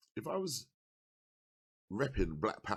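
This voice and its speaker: An animated voice with an English accent comes through on a very clean recording with a silent background. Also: man. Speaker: political commentator. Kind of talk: political monologue. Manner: not exaggerated delivery.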